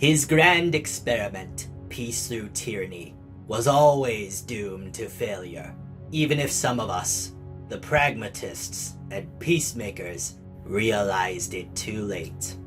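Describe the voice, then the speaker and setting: Over clear background music, a man in a put-on character voice speaks fairly slowly at a fairly low pitch. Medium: dub. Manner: theatrical, scornful speech.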